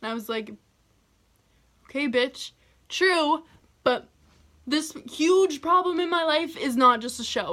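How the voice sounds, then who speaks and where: A woman speaks loudly in an animated tone with lively intonation. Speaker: YouTuber telling personal stories. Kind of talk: storytime vlog.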